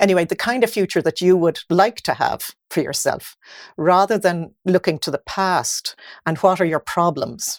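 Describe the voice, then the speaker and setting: A woman speaks at a moderate pace in an Irish accent. The recording is very clean, with a silent background and a dry, close sound with no echo. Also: medium pitch for a woman, ordinary pitch variation. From Ireland. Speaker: mindset coach. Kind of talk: casual chat.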